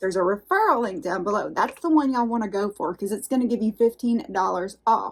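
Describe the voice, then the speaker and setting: A woman speaks at a very fast clip with hardly any pauses. Her fairly high voice has a lively intonation. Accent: Southern US. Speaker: unboxing YouTuber. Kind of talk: casual vlog unboxing chat. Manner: chatty, animated.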